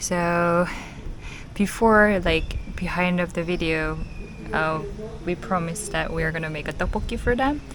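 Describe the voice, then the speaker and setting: A woman with a fairly low pitch talks at a moderate pace with ordinary pitch variation and long, frequent pauses. Audible room echo surrounds her. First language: Korean. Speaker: van life vlogger. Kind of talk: casual vlog talk.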